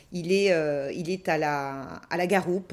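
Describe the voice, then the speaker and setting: A woman speaks at a fairly low pitch. The recording is very clean and the background silent. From France, Saint-Étienne. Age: 40s. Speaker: teacher and local councillor. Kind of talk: interview. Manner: animated.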